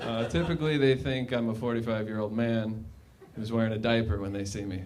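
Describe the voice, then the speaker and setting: A man speaks very fast with an American accent. The room echoes audibly, and background noise is noticeable. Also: medium pitch for a man, ordinary pitch variation. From Minnesota, suburbs. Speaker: stand-up comedian. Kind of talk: stand-up. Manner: halting.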